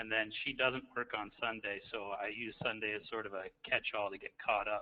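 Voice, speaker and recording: Speaking quietly at a moderate pace, a man uses a fairly low pitch and a monotone, flat intonation. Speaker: school principal, doctoral student. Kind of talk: self-introduction in webinar. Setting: online webinar from office. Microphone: faint, too quiet.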